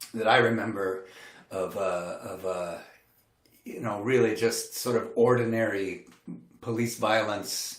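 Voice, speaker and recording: A man with an American accent speaks fairly slowly at a medium pitch with fairly even intonation and long, frequent pauses, with audible room echo. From US Midwest, Milwaukee. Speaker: singer-songwriter. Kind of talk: livestream concert talk. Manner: halting.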